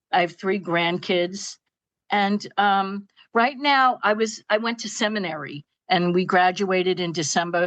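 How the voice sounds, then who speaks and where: Speaking in a Brooklyn accent, a woman keeps a medium pitch with ordinary pitch variation. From Brooklyn, New York. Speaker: retired school psychologist, seminary graduate. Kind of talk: interview testimony. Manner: halting, many fillers.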